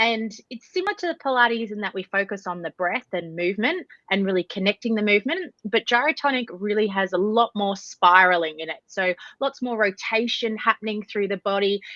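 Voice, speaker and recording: Woman with an Australian accent, fairly quick pace, hardly any pauses and ordinary pitch variation. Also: medium pitch for a woman. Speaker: Pilates instructor and nutritionist. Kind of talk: podcast interview.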